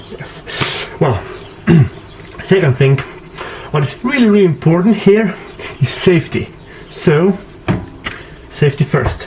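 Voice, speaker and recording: A man speaks at a fairly slow pace. There is noticeable background noise behind him. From Slovenia. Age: 20s. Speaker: pop singer. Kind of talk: casual DIY tutorial talk to camera. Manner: jokey, playful.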